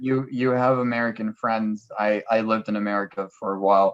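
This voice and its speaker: In a French accent, a man speaks at a moderate pace with monotone, flat intonation. The sound is dry and close, with no echo. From France. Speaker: language helper. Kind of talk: casual chat.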